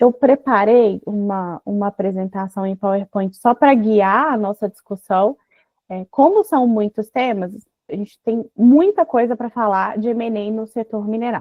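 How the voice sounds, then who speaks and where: A fairly high-pitched woman speaks at a fairly slow pace with ordinary pitch variation. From Brazil, Minas Gerais. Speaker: mining lawyer. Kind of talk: online seminar talk.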